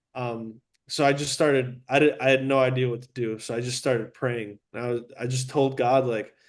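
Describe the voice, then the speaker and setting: Here a man speaks with an American accent at a moderate pace. His medium pitch stays monotone, with flat intonation. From Chicago southwest suburbs, US. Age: 20s. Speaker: real estate agent. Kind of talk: casual chat.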